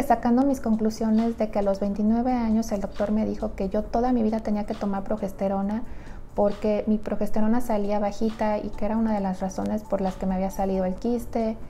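A woman's fairly high-pitched voice with fairly even intonation over light background noise. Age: 30s. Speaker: nutritionist. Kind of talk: personal story vlog. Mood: reflective personal story. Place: home room. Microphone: lapel.

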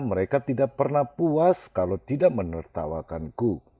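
A man's dark, mellow voice at a moderate pace, with very wide pitch swings, in a very clean recording with a silent background and a dry, close sound with no echo. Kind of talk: ghost story narration, first-person creepypasta told as a grieving man.

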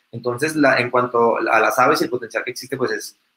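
The man's voice has a bright, sharp tone. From Colombia, Bogotá. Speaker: ecologist and tour operator; presenter. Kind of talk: conference presentation. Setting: video call. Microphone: webcam.

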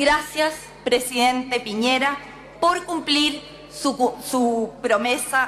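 A woman speaks with a high pitch and ordinary pitch variation. Light background noise can be heard. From Chile. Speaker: member of parliament. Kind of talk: parliamentary speech. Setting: parliament chamber. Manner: formal. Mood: earnest, political argument. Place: hall. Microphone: podium.

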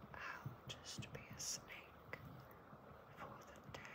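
A gentle whisper. The pace is very slow. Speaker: ASMR reader. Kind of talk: ASMR children's book reading to help sleep. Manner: gentle whispering, soft.

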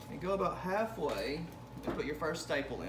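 This man's speech moves along fairly quickly. Background noise can clearly be heard. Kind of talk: tutorial. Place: workshop. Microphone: phone near.

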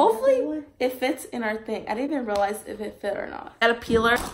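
This woman has a fairly high voice. Noticeable background noise runs behind her. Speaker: vlogger. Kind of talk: casual vlog haul. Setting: at home, kids in background. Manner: casual, filler words.

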